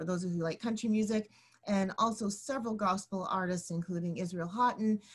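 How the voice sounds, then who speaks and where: A woman talks at a fairly quick pace in a somewhat breathy voice. The background is quiet. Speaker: online show host. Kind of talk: hosting a live stream. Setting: live broadcast. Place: home room. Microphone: video call.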